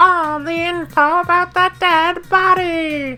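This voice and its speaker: In a put-on character voice, the speaker uses a high pitch and a playful tone, with clear music playing in the background. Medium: video game. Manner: playful, taunting.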